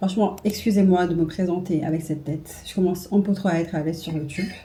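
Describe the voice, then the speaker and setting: The voice is dark, mellow and somewhat breathy. It moves at a very fast pace with fairly even intonation. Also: woman, fairly low pitch for a woman. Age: 20s. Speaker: beauty and lifestyle vlogger. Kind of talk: casual vlog talk to camera. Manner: casual, hesitant with fillers.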